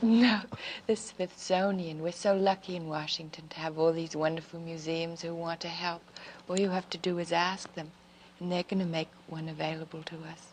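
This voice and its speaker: With an unremarkable speaking voice, a woman speaks at a moderate pace in a fairly low pitch, her intonation fairly even but her loudness swinging widely. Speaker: First Lady being interviewed. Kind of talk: interview answer. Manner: soft-spoken, gentle.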